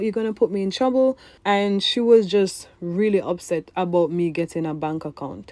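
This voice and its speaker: Speaking in a Jamaican accent, a woman has a dark, mellow tone at a medium pitch. Her intonation is lively and her pace moderate. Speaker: vlogger. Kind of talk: personal storytelling voiceover. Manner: casual.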